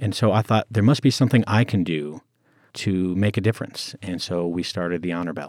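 With an American accent, a man talks fairly quickly in a very deep, low voice with lively intonation, recorded dry and close with no echo on a very clean recording with a silent background. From US, Colorado. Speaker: veteran advocate. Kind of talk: interview.

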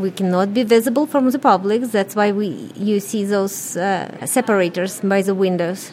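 Over noticeable background noise, a woman with a Russian accent speaks at a moderate pace in a medium-pitched voice with ordinary pitch variation. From Ukraine. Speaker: business owner. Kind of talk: radio interview.

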